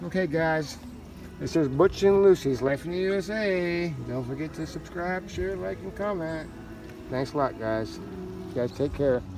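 Speaking at a fairly slow pace, a man uses lively intonation over noticeable background noise in a dry recording with no echo. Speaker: vlogger. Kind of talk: casual vlog chat. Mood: joking, teasing. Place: open country. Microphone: phone near.

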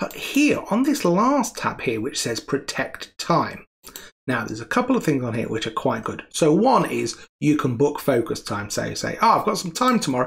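A man speaks at a fairly quick pace against a quiet background. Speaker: presenter. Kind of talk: tutorial. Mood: relaxed, friendly. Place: home room.

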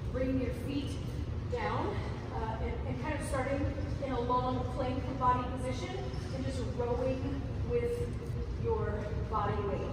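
Amid loud background noise and audible room echo, a woman speaks at a fairly slow pace. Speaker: fitness instructor. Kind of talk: tutorial. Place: gym. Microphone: camera far.

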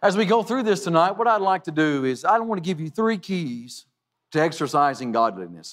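The man speaks at a fairly quick pace, and the background stays quiet. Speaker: preacher. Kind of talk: sermon. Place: church.

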